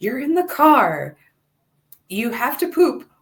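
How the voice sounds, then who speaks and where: Her intonation sounds lively. The speaker is a woman with an American accent. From US Northeast, New Jersey. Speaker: massage therapist, mother sharing birth stories. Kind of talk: casual chat.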